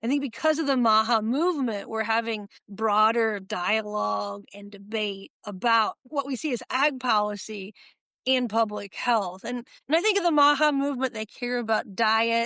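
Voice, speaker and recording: A woman with an American accent has a fairly high pitch and a bright, sharp tone. Her pitch varies in an ordinary way, in a dry, close sound with no echo. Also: moderate pace. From Illinois. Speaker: podcast host and agricultural policy professor. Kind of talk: interview podcast.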